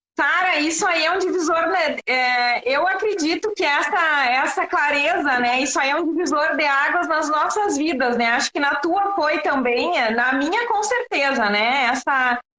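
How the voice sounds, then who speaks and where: A woman with a strong Rio Grande do Sul accent speaks in a high pitch with lively intonation. Her pace is fairly slow, with hardly any pauses and very even loudness. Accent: southern Brazilian (gaúcho), strong. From Rio Grande do Sul, Brazil. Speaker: systemic therapist. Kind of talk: live-stream interview. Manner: hesitant, many fillers.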